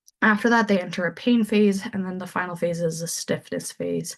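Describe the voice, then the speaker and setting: With a Canadian accent, a woman speaks at a moderate pace and medium pitch, her voice somewhat breathy with ordinary pitch variation. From Saskatoon, Saskatchewan, Canada. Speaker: anesthesia resident physician. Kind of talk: medical grand rounds lecture.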